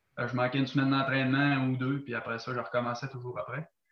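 With a Quebec accent, a man talks at a fairly quick pace and medium pitch, his intonation monotone and flat. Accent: Québécois French. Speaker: athlete, gym-goer. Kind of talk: casual interview chat. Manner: halting.

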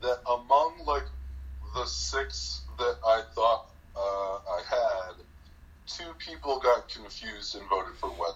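Speaking slowly, a man uses lively intonation, a fairly low pitch and a fairly bright tone.

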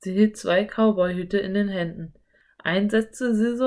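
Someone is doing plain reading aloud.

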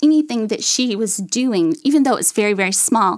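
This woman talks with an East Texas accent. Her pitch is fairly high and her pace is moderate. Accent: East Texas Southern. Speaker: mother of a child with medical needs. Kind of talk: testimony.

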